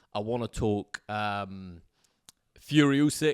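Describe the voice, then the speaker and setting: A man speaks with an English accent at medium pitch and ordinary pitch variation. The sound is dry and close with no echo, in a very clean recording with a silent background. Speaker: sports podcast host. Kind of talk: casual chat. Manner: loud talker.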